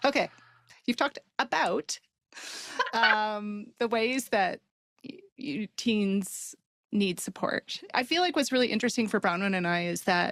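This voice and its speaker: Fairly high-pitched with a western Canadian accent, a woman speaks fairly slowly with lively intonation, and the sound is dry and close with no echo. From Canada, Calgary, Alberta. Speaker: podcast co-host. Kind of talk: casual podcast conversation.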